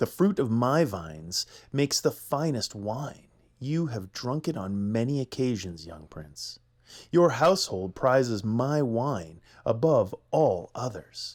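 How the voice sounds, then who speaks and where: In a very clean recording with a silent background, a man does a gravelly, put-on character voice at medium pitch and a fairly slow pace. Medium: read story. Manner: silky menace, condescending.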